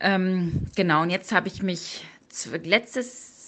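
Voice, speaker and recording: A woman speaks in a medium pitch. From Münsterland, Germany. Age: 30s. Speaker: police detective and triathlete. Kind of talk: interview. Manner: hesitant with frequent fillers.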